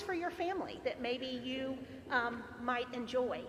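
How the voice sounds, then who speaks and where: A woman with a high pitch uses a raised, projected voice. Noticeable background noise sits behind her. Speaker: parishioner. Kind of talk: audience question.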